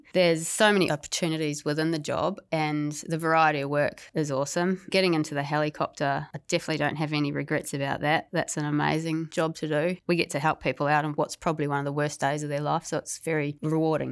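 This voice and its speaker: A woman with a New Zealand accent speaks very fast with hardly any pauses, in a very deep, low voice with flat, monotone intonation. The recording is very clean, with a silent background. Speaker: police officer, former dolphin trainer. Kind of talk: interview.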